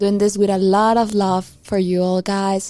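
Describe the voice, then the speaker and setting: Speaking at a medium pitch, a woman has a Spanish accent. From Peru. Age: 20s. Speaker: podcast co-host. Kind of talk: casual chat.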